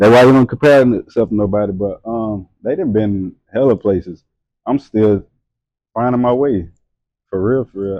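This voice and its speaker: A man speaks with a Louisiana accent at medium pitch and a moderate pace. His pitch varies in an ordinary way, and the sound is dry and close, with no echo. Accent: Louisiana Southern US. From Louisiana, Hammond. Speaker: model and entrepreneur. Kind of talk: casual chat. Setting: studio, during tattoo session.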